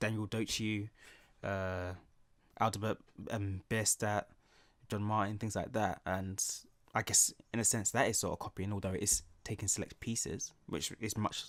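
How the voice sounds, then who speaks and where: A man talks at a moderate pace in a fairly low pitch. His intonation is monotone and flat, on a very clean recording with a silent background. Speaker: artist and art teacher. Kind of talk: casual talk to camera, art ramble while drawing. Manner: soft-spoken, ASMR-style.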